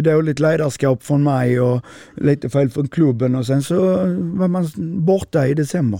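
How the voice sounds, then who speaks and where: This man has a dark, mellow tone and ordinary pitch variation at a moderate pace. The sound is dry and close with no echo. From southern Sweden, Skåne. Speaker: handball coach. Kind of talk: interview. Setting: in-person recording in Lund.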